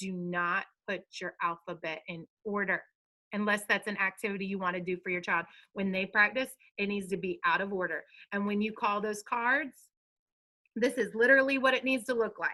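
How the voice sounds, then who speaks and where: A woman talks at a moderate pace in an American accent, her medium-pitched voice bright and sharp in tone. Her pitch varies in an ordinary way. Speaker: preschool teacher. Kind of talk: online meeting with parents. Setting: video call. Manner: animated.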